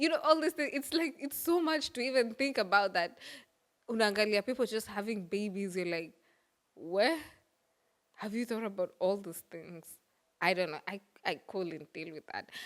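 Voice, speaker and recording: A woman's medium-pitched voice at a moderate pace, with very wide pitch swings, big swings in loudness and long, frequent pauses, in a very clean recording with a silent background. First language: Swahili or other Kenyan language. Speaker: podcast host. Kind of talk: casual monologue. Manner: code-switching English and Swahili.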